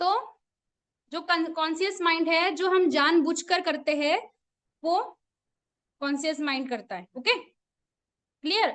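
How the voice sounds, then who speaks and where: Her pitch extremely high with ordinary variation, a woman speaks with long, frequent pauses. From Assam, India. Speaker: teacher. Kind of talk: online class lecture. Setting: video call. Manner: conversational, frequent questions to audience.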